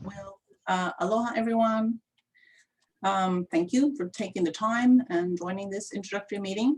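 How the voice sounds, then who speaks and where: A somewhat breathy voice speaks at a moderate pace with lively intonation. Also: woman. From Sweden. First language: Swedish. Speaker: county water planning manager. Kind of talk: self-introduction at community meeting. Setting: video call.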